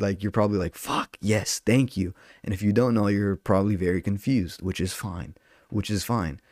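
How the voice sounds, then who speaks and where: Recorded dry and close with no echo against a silent background in a very clean take, a man with a Southern California accent talks at a moderate pace with a fairly low pitch and ordinary pitch variation. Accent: Southern Californian English. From Southern California, Orange County. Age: 20s. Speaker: podcast host and stand-up comedian. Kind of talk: casual solo monologue. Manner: animated.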